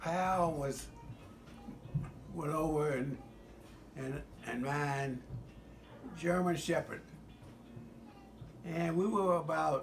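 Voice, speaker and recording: Over music in the background, a man talks at a very slow pace with long, frequent pauses. His fairly high voice has fairly even intonation. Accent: American. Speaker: former US Marine. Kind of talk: casual personal storytelling.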